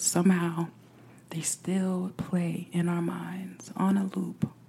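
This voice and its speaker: The voice has a soothing, calm tone at a very slow pace. Noticeable background noise can be heard. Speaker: meditation guide podcaster. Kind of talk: guided meditation. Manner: slow, soothing, calm and gentle with long pauses.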